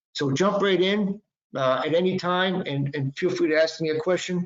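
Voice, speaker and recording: With a Boston accent, a man speaks at a high pitch using fairly even intonation. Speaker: intellectual property lawyer. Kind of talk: webinar presentation. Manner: halting, many fillers.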